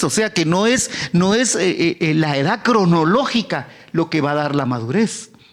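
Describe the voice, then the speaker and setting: Noticeable background noise accompanies a man speaking at a fairly slow pace. His voice is high-pitched and swings very widely in pitch. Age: 70s. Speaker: pastor. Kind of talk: sermon. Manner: halting, many repetitions.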